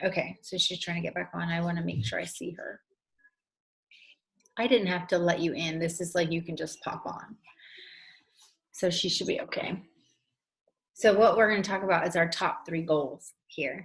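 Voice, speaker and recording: A somewhat breathy woman speaks at a fairly low pitch and moderate pace, with ordinary pitch variation and long, frequent pauses. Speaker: essential oils trainer. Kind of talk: online training session.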